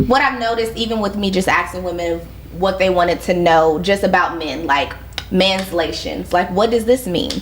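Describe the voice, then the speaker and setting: A woman speaks at a medium pitch with lively intonation. The room echo is audible, and background noise is noticeable. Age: 30s. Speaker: podcast host. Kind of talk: casual interview chat. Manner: animated.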